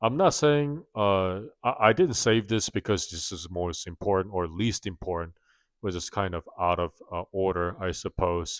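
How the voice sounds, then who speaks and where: Speaking at a fairly slow pace with a non-native accent, a man with a very deep, low pitch is captured in a very clean recording with a silent background and a dry, close sound with no echo. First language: not English. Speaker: personal finance vlogger. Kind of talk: casual vlog monologue. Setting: home, late night filming. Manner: halting, many fillers.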